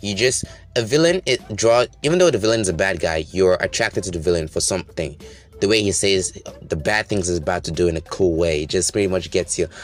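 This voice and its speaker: A man's fairly low voice at a fairly quick pace, with ordinary pitch variation and music in the background. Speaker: YouTube movie commentator. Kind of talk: movie review commentary. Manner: fast; animated.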